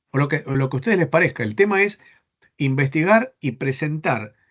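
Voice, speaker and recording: A man talks at a very fast pace. He has an Argentine accent. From Spain. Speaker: bible seminary professor. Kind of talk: online class lecture. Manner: halting, repeats words.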